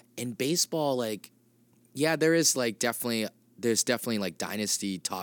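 A man with an ordinary speaking voice and an American accent, at a fairly quick pace with lively intonation, in a dry, close, echo-free and very clean recording with a silent background. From Massachusetts (Clinton). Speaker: comedian. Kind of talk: casual chat. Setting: green room of a comedy theater.

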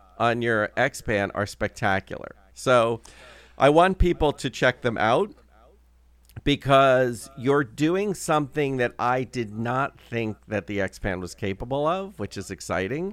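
Dry and close with no echo, a man's medium-pitched voice moves at a fairly slow pace with very wide pitch swings. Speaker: podcast co-host. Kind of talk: casual chat. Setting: remote recording.

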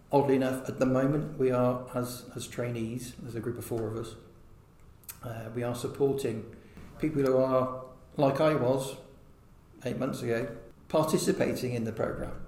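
A man's voice with fairly even intonation, audible room echo and noticeable background noise. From Herefordshire, England. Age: 40s. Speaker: wildlife trust volunteer. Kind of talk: interview. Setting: outdoors. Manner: halting.

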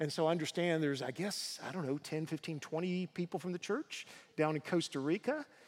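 Speaking at a moderate pace, a man with a slight Southern US accent has a fairly high pitch. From US South, Tennessee. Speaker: guest preacher, university professor. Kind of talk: sermon. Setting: church.

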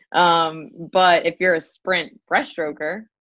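Fairly low-pitched, a woman talks in a plain, everyday voice with ordinary pitch variation. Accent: American. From US South, North Carolina (Durham). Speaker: physical therapist and triathlon coach. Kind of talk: casual interview.

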